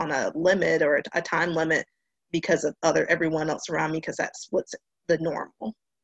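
A woman speaks in a fairly low pitch with monotone, flat intonation at a fairly quick pace, the sound dry and close with no echo against a quiet background. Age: 20s. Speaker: marine sciences graduate student. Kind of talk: panel discussion. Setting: live stream.

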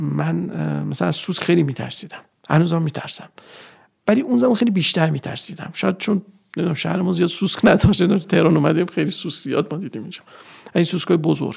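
Talking at a very fast pace, a man uses a high pitch with ordinary variation. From Iran, Nishapur (Khorasan). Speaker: structural engineering manager. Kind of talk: interview.

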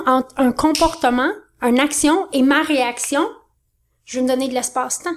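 A woman with a Quebec accent, high pitch, animated tone, ordinary pitch variation and a moderate pace. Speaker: business coach. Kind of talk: interview.

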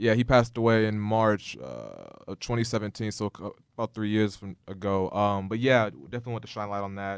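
An unremarkable speaking voice moves at a fairly quick pace with fairly even intonation and big swings in loudness. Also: man, fairly low pitch for a man. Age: 20s. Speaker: podcast host. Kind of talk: casual interview chat. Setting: studio, sitting across from guest.

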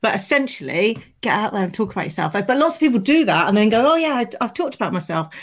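A woman speaks at a very fast pace with a fairly high pitch. Her pitch swings very widely. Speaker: podcast host. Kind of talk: casual interview.

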